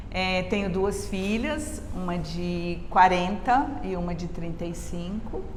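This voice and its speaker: At a very slow pace and with hardly any pauses, a woman speaks amid noticeable background noise and audible room echo. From Brazil, Rio and São Paulo. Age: 60s. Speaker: mother interviewed about motherhood. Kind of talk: casual interview chat. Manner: halting, with repetitions and fillers.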